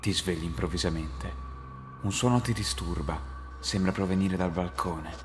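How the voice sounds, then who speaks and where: Music plays in the background as a man talks at a moderate pace in a very deep, low pitch. His intonation is lively while his loudness stays very even. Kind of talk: scripted creepypasta narration in second person, told as a ghost story.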